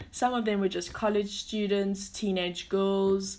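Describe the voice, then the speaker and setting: A woman's ordinary speaking voice at medium pitch, fairly slow in pace. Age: 20s. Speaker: podcast host. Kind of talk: casual monologue. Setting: home during lockdown.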